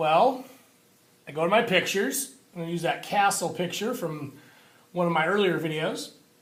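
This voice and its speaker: A man's high-pitched voice at a moderate pace, with big swings in loudness and audible room echo. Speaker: teacher. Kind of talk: tutorial.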